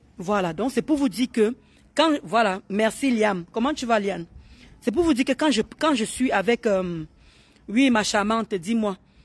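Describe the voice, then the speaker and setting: This woman's fairly high voice is somewhat breathy, with lively intonation and an animated tone. She speaks at a fairly slow pace. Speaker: live streamer. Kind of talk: casual live chat.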